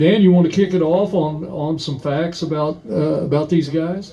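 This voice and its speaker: A fairly high-pitched man's voice at a fairly slow pace, with ordinary pitch variation. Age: 60s. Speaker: musician and record collector. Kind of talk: casual chat. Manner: halting, many fillers.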